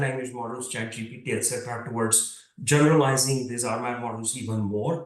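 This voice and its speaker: With an Indian accent, a man speaks at a fairly quick pace and ordinary pitch variation, with noticeable background noise and audible room echo. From India, Mumbai. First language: Marathi. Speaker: computer science professor. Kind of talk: lecture.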